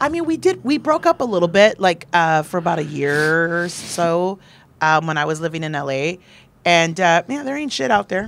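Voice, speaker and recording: Lively intonation runs through speech delivered at a moderate speed. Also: woman, fairly low pitch for a woman. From Texas, San Antonio; Texas. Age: 30s. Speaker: comedian and performer; comedian. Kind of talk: casual chat. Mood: relaxed, joking, lively. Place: studio. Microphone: handheld.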